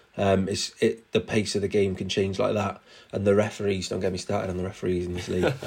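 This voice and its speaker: In a Cardiff accent, a man speaks very fast at a fairly low pitch, somewhat breathy, with fairly even intonation. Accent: Cardiff Welsh English. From Wales, Cardiff. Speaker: presenter and music artist. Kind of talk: casual chat.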